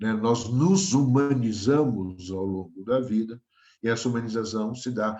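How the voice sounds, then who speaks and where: This man has a dark, mellow tone and medium pitch, with ordinary pitch variation. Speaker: professor. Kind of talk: lecture.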